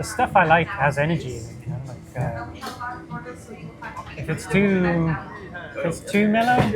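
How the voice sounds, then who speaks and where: A speaker with a British accent talks with long, frequent pauses. Music plays in the background. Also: moderate pace. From UK. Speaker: DJ and radio host. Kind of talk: casual interview chat.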